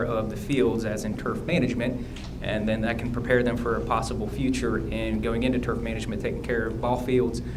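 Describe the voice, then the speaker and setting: A man with an American accent speaks at a fairly quick pace and a medium pitch, his intonation monotone and flat, with noticeable background noise and audible room echo. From US Midwest (northeast Ohio). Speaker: school board candidate. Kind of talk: candidate forum answers. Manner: fast.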